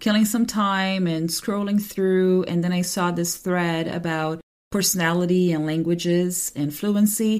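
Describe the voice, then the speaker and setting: A woman with a medium pitch and fairly even intonation talks in a very clean recording with a silent background. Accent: Portuguese. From Brazil. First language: Portuguese. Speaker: translator and podcast host. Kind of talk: podcast monologue and interview.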